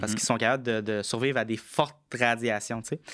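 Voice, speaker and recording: A man talks at a medium pitch in a bright, sharp tone with ordinary pitch variation. The recording is very clean, with a silent background. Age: 20s. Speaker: tech entrepreneur. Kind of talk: casual interview. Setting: studio.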